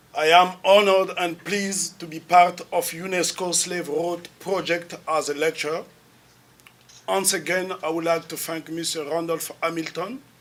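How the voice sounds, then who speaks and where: Over noticeable background noise, a high-pitched man with a Congolese accent talks at a moderate pace in a monotone, flat intonation. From Republic of the Congo. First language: French. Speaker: lecturer and activist. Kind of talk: lecture. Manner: formal.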